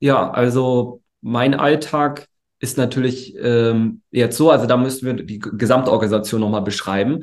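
The man's pitch is medium and his intonation fairly even. He talks at a fairly slow pace. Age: 20s. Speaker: entrepreneur, agency founder. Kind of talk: interview. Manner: relaxed; hesitant, many fillers.

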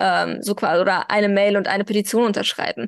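Dry and close, with no echo, the sound carries a woman's speech. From Germany, Iranian family. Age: 20s. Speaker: activist and social media manager. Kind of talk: interview. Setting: video call. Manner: hesitant with many fillers.

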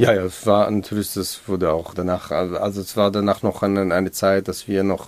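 A man's fairly low voice in an Israeli accent. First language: Hebrew (speaking German). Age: 40s. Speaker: educator, head of a civic education centre. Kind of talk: interview. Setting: studio. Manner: halting.

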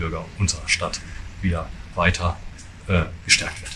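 Against noticeable background noise, a man speaks with a very deep, low pitch. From Westphalia, Germany. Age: 50s. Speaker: police chief. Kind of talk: press interview.

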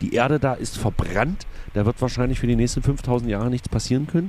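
With music behind, the speaker goes at a fairly quick clip. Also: man. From Saxony-Anhalt, Magdeburg. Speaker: cabaret artist, podcast co-host. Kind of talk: casual chat.

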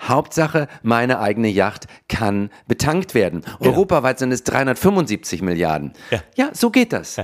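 Speaking at a fairly slow pace with hardly any pauses, a man with a medium pitch shows very wide pitch swings and vocal fry. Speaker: comedian and podcast co-host. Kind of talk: casual chat. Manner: animated.

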